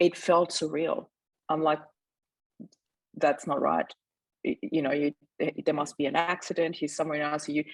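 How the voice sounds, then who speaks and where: This woman has a German accent and a very deep, low pitch, with monotone, flat intonation. She takes long, frequent pauses, and the sound is dry and close with no echo. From Austria. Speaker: mindset mentor. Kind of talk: interview testimony. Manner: fast.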